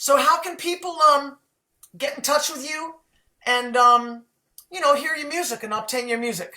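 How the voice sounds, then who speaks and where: A woman with a high pitch uses a raised, projected voice at a moderate pace, with ordinary pitch variation, big swings in loudness and long, frequent pauses. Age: 60s. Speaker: host of a live music show. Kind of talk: casual interview chat.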